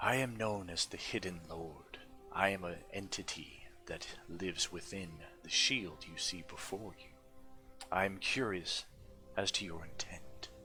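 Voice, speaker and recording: Someone performs a put-on character voice at a moderate pace. Clear music plays in the background. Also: man, very deep, low pitch for a man. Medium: actual play. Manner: formal, deliberate, imperious.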